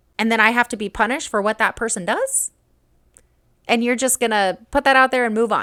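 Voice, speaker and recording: A woman speaks in an animated, bright, sharp tone. The recording is very clean, with a silent background and a dry, close sound with no echo. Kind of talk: reaction video commentary. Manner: fast.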